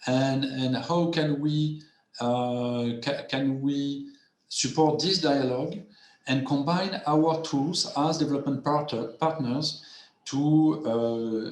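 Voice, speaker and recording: Amid audible room echo, a man with a strong French accent speaks at a fairly high pitch in fairly even intonation. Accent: heavy French. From France. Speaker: development finance panelist. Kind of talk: webinar panel presentation. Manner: halting, many repetitions and fillers.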